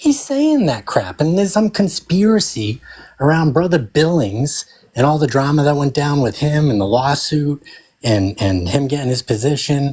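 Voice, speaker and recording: A man's fairly high, somewhat breathy voice with a Boston accent, lively intonation, very even loudness and a moderate pace. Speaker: freemason web developer. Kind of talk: heated debate. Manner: animated.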